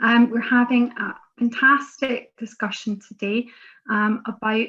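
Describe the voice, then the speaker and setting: A woman speaks in a Scottish accent. Her intonation is monotone and flat. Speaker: member of parliament, webinar chair. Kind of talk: webinar moderation. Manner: hesitant, many fillers.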